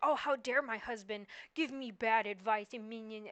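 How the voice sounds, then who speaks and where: Putting on a whiny character voice, a woman speaks at a fairly high pitch and a moderate pace with ordinary pitch variation. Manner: mocking, whiny, sarcastic.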